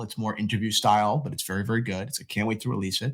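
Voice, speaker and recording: This man speaks in a fairly low pitch. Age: young. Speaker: watch media entrepreneur. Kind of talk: casual chat. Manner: loud; animated.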